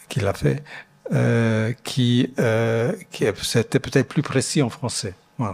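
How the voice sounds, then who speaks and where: A man with an Italian accent at a medium pitch, very slow, with vocal fry and ordinary pitch variation. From Italian-speaking Switzerland (Ticino). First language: Italian (speaking French). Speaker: architect. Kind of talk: Q&A after a lecture. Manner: halting, many repetitions and fillers.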